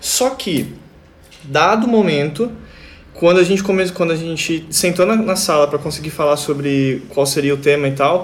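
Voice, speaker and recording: Speaking at a moderate pace, a man with a high pitch and ordinary pitch variation is heard over noticeable background noise. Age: 20s. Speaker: band guitarist. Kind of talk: casual chat.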